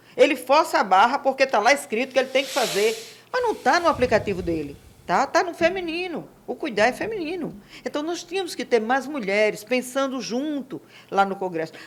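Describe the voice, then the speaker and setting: A woman speaks at a fairly quick pace in a high pitch with very wide pitch swings, over noticeable background noise. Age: 60s. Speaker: real estate and construction administrator. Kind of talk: podcast interview.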